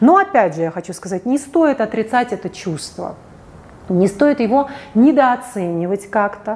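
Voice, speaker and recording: Speaking at a fairly slow pace, a woman has a fairly high pitch and lively intonation. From Russia, St Petersburg. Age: 40s. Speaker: psychologist. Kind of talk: video monologue. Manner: animated.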